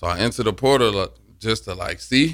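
Bright and sharp in tone, a man's voice carries vocal fry. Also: very clean recording, silent background. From Alabama. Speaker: college football player. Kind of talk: radio interview.

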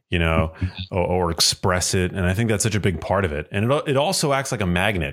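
In a very clean recording with a silent background, a man with a normal speaking voice talks fairly quickly with lively intonation. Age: 30s. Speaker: podcast host. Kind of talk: casual chat.

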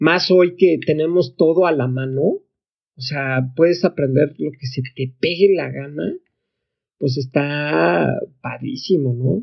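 Talking at a very slow pace, a man with a fairly high pitch shows ordinary pitch variation. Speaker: tech entrepreneur. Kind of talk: casual interview.

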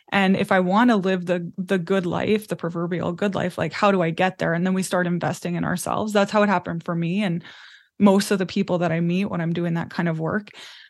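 A woman with a Canadian accent talks at a very fast pace in a fairly low voice. Her intonation is monotone and flat, with a quiet background. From Canadian prairies. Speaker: business mentor. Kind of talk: interview.

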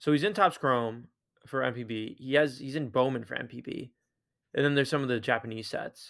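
With an ordinary speaking voice, a man talks at a fairly quick pace and medium pitch, using ordinary pitch variation on a very clean recording with a silent background. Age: 20s. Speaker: sports card podcast co-host. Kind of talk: casual chat.

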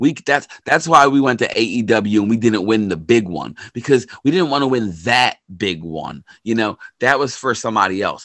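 With an American accent, a man with an unremarkable speaking voice talks at medium pitch. His pace is moderate and his intonation lively. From Philadelphia, US. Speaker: podcast co-host, wrestling fan. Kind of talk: casual chat.

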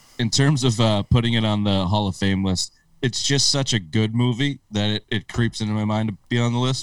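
In an unremarkable speaking voice, a man with an American accent and a medium pitch talks at a moderate pace with ordinary pitch variation. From upstate New York. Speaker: sports podcast host. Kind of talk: casual banter. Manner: profane, joking.

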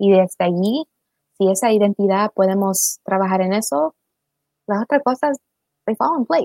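A woman at a medium pitch with a dark, mellow tone, lively intonation, and long, frequent pauses, in a dry, close sound with no echo. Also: moderate pace. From Maryland, US, Salvadoran and Ecuadorian parents. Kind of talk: casual livestream conversation.

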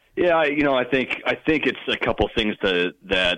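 With an ordinary speaking voice, a man talks at a fairly quick pace and ordinary pitch variation. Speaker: sports reporter. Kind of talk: sports talk interview.

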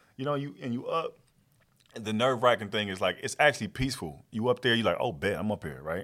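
Talking at a very fast pace, a man with a medium pitch uses lively intonation, a bright, sharp tone and vocal fry. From Texas (Fort Worth, southwest side). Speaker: comedian and TV writer. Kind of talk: casual chat.

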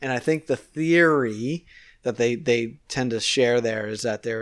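Over a silent background in a very clean recording, a man talks at a fairly slow pace, his pitch medium and its variation ordinary. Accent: East Coast Canadian. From Nova Scotia, Canada. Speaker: guest who travels for work. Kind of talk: casual conversation, interview. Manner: conversational, chatty.

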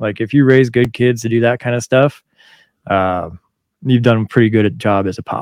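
At a moderate pace, a man talks at medium pitch with ordinary pitch variation in an unremarkable speaking voice. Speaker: firefighter podcast host. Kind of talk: casual chat with swearing.

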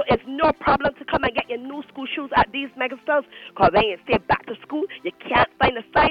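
A woman speaks at a fairly quick pace in an animated tone, with a high pitch and ordinary pitch variation. Her loudness swings widely. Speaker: shop representative. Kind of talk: radio shop advert pitch, street-seller patter. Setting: phone call into radio show. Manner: animated, sing-song, rapid-fire bargain call-outs.

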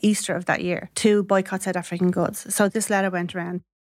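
In a Dublin accent, a woman speaks at a medium pitch with fairly even intonation. The recording is very clean, with a silent background. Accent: Dublin Irish. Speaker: former striking shop worker. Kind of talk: interview, personal testimony.

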